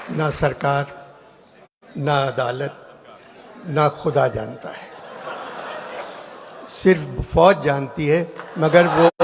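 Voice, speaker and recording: Against noticeable background noise, a man talks with a fairly high pitch and fairly even intonation. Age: 80s+. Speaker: satirist speaking at a public event. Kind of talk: satirical public speech to a hall audience. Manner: dry, witty.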